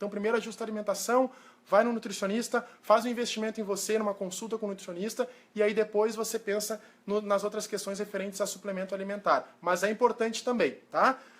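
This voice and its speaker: Flat and monotone, a man's high-pitched voice moves at a fairly quick pace. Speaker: nutritionist. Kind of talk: live stream talk. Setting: live video stream. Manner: fast.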